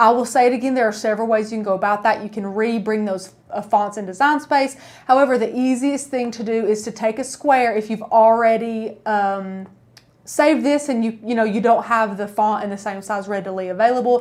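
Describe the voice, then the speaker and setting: Talking at a fairly quick pace, a woman with an East Tennessee accent has a fairly high pitch. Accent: East Tennessee Southern. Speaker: crafting YouTuber. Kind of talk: live-stream tutorial. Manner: animated; casual.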